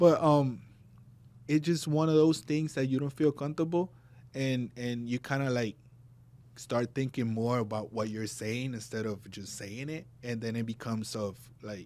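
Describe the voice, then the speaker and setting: A man speaks with a Spanish accent at a moderate pace, his pitch in the medium range. His tone is dark and mellow, with ordinary pitch variation. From Puerto Rico and New Jersey. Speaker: barber. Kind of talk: casual chat.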